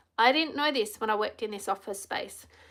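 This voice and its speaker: Loud and animated, a woman with an Australian accent speaks in a bright, sharp tone at a fairly high pitch, with ordinary pitch variation, on a very clean recording with a silent background. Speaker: empowerment coach. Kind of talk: live stream talk.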